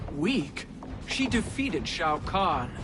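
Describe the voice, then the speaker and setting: The voice is a put-on character voice at a middle pitch. Loud background noise runs underneath. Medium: video game.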